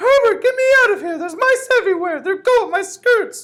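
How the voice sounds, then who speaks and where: Shouting at a fairly quick pace, a put-on character voice sounds squeaky and shrill at an extremely high pitch. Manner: screaming in panic.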